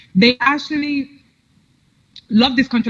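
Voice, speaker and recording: A woman speaking with an American accent. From New York City, Dominican parents. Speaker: political commentator. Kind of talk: interview chat.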